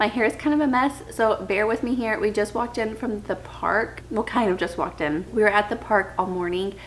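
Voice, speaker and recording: A woman with a fairly high pitch talks at a fairly quick pace with hardly any pauses and ordinary pitch variation. Noticeable background noise runs underneath. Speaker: book vlogger, stay-at-home mom. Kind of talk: casual chat. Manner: soft-spoken; hesitant fillers.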